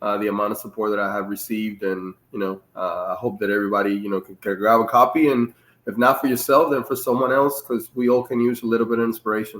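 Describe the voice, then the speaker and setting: In a Dominican accent, a man speaks at a very fast pace with fairly even intonation. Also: medium pitch for a man, hardly any pauses. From Dominican Republic. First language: Spanish. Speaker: Navy master chief and author. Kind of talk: interview. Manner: halting.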